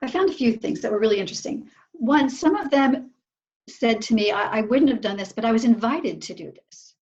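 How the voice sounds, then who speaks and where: A woman talks at a fairly quick pace in a high pitch. Her intonation is lively, with big swings in loudness. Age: 60s. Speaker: researcher and coach for older women. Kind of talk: interview.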